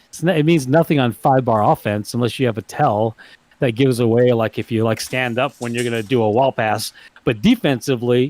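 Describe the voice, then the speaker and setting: The sound is dry and close with no echo as a man speaks at a medium pitch. He moves at a fairly quick pace with ordinary pitch variation. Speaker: foosball commentator. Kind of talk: live commentary. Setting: livestream of a tournament. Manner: loud.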